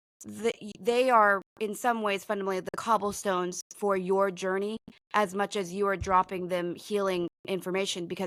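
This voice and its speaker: A woman speaks at a medium pitch with flat, monotone intonation. The sound is dry and close, with no echo. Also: moderate pace. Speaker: psychic reader and podcast host. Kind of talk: casual chat with psychic reading. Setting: live stream. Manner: loud; halting, many fillers.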